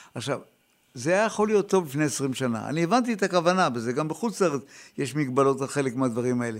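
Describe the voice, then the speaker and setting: Lively intonation at a very fast pace, in a very clean recording with a silent background. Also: man, fairly high pitch for a man. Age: old. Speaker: radio co-host. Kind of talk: casual chat. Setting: studio.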